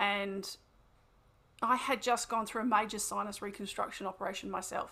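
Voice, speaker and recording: A woman at a medium pitch and a fairly quick pace, with a bright, sharp tone. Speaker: wellbeing coach and therapist. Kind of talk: podcast interview. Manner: fast; animated.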